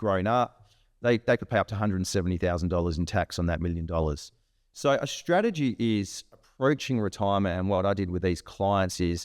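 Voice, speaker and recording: At a fairly quick pace, a speaker with an Australian accent comes through on a very clean recording, with a silent background and a dry, close sound with no echo. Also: man. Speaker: financial adviser. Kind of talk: interview.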